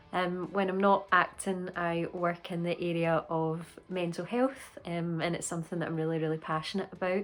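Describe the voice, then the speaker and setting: A woman with a Scottish accent speaks at a moderate pace in a fairly low pitch, her intonation fairly even and her speech carrying hardly any pauses. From Scotland. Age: 30s. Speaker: actor. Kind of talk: interview.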